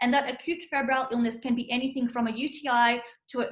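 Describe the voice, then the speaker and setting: The woman's voice is pitched high. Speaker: medical student tutor giving revision lecture. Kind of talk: lecture. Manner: fast; frequent filler ums.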